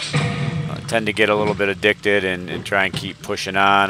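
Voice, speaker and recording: A man at a fairly quick pace and fairly low pitch, music playing in the background. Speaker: video game streamer. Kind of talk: live gameplay stream chat.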